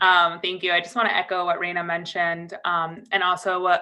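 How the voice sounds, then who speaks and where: A woman's medium-pitched voice at a very fast pace. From US Northeast, Connecticut. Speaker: DACA recipient advocate. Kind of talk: virtual press call remarks. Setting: video call.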